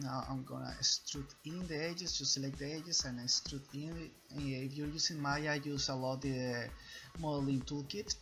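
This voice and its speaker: Over music in the background, someone with a non-native accent speaks at a moderate pace. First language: not English. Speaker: 3D artist. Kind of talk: tutorial. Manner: hesitant, many fillers.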